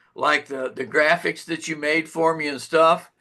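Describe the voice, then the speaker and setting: Against a quiet background, a man with a fairly high pitch and a bright, sharp tone speaks at a fairly slow pace. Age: 70s. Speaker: program member. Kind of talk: testimony. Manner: halting.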